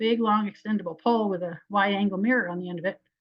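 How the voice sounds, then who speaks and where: Speaking very fast, a woman uses a medium pitch and fairly even intonation. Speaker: wildlife biologist. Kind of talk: lecture.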